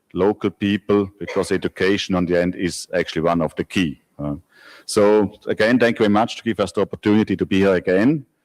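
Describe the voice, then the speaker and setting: A man with a Swiss accent at a fairly quick pace and fairly even intonation, on a very clean recording with a silent background and a dry, close sound with no echo. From Switzerland. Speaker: company managing director. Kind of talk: conference presentation.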